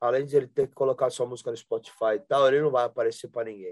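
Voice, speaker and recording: Delivered at a very fast pace with ordinary pitch variation, the voice sounds dry and close, with no echo. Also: man. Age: 40s. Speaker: rock singer and guitarist. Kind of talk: interview, casual chat.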